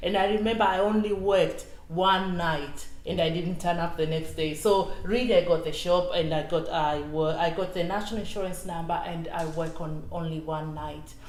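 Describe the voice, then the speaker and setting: At a moderate pace, a woman speaks with a fairly low pitch and fairly even intonation over noticeable background noise. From Tanzania. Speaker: retired civil servant and equality campaigner. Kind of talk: interview.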